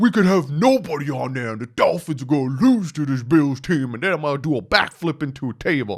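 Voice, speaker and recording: Doing a put-on character voice, a man talks at a fairly quick pace with a fairly high pitch and hardly any pauses, on a very clean recording with a silent background. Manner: mocking, exaggerated, boastful.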